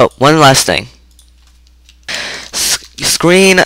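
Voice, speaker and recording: A man's bright, sharp tone with vocal fry and ordinary pitch variation, the sound dry and close with no echo. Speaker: programming tutorial maker. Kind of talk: screen-recorded coding tutorial. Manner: stuttering, halting; casual, informal.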